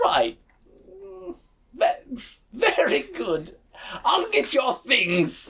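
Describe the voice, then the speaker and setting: The speaker uses a put-on character voice with a fairly high pitch. Delivery is very slow, with long, frequent pauses. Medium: actual play. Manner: hesitant, stammering.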